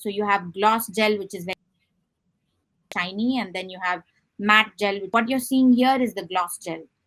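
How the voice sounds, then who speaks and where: A woman with a Tamil accent, medium pitch, fairly even intonation and a moderate pace. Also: big swings in loudness. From southern India, Chennai. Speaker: artist. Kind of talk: interview.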